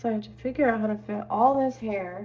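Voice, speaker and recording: A woman speaks over noticeable background noise. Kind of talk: ASMR get-ready-with-me talk. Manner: soft-spoken, relaxing.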